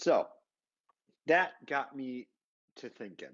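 The background stays quiet while a man talks. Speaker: online marketing consultant for real estate investors. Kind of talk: casual live video monologue. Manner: conversational. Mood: light, jokey. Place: office. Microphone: earbuds.

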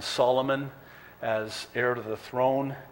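The intonation is monotone and flat. It belongs to a man. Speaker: pastor. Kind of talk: sermon. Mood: warm, lightly humorous. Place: church. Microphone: podium.

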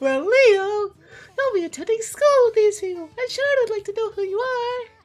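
A woman speaks at a moderate pace with an extremely high pitch. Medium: game stream. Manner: bubbly, friendly, a bit flustered.

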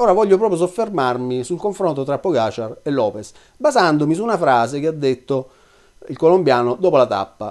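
A man with a fairly high pitch talks at a fairly quick pace, his voice making very wide pitch swings over a quiet background. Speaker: cycling commentator. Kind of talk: video commentary monologue. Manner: hesitant fillers. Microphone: webcam.

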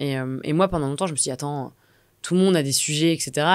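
Over a quiet background, a woman with a very deep, low pitch speaks at a fairly quick pace. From Normandy, France (Rouen); Normandy, France. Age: 30s. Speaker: entrepreneur, community founder; podcast guest. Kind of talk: interview. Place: studio. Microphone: studio mic.

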